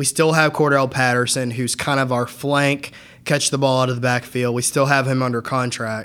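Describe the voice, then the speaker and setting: Moderate pace and monotone, flat intonation. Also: man, medium pitch for a man. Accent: American. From Atlanta area, Georgia, US South. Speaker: lawyer. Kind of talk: casual chat.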